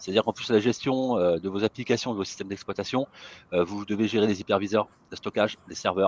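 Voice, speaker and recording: Close and dry with no echo, the recording captures a man speaking at a fairly quick pace in a fairly low voice with fairly even intonation. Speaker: IT consultant. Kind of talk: webinar presentation. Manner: fast.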